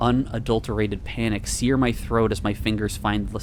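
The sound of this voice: Delivered in an unforced reading voice, the speech has fairly even intonation.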